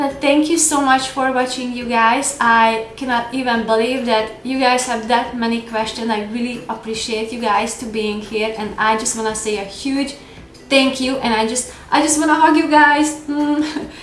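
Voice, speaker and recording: Over noticeable background noise and audible room echo, a woman talks at a moderate pace with a high pitch. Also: fairly even intonation. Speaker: lifestyle vlogger. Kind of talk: casual vlog Q&A. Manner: hesitant with fillers.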